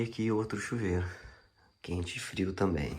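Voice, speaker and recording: With audible room echo, a man speaks at a very deep, low pitch with fairly even intonation. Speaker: agroforestry farmer. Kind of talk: video diary walkthrough. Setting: outdoors on a farm. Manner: casual, informal.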